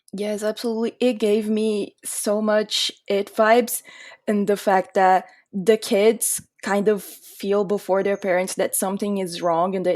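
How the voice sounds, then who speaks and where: On a very clean recording with a silent background, a woman with a Portuguese accent speaks fairly slowly in a monotone, flat voice at a medium pitch. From Brazil. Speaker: podcast guest. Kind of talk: casual chat.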